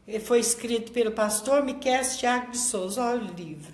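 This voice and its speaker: A woman with a fairly high voice is heard amid noticeable background noise, her words echoing audibly off the room. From Brazil, small inland town. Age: 60s. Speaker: pastor. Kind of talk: sermon.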